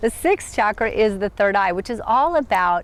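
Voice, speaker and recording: With a plain, everyday voice, a woman speaks at a fairly high pitch with lively intonation. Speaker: spiritual teacher, chakra coach. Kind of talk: self-help talk to camera. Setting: outdoors in a park.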